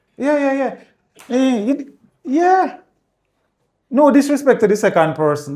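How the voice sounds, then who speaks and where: A man with a Jamaican accent speaks at a fairly slow pace with long, frequent pauses, his extremely high voice dark and mellow in tone with very wide pitch swings. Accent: Jamaican, patois-inflected. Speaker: realtor. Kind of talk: casual chat. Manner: animated.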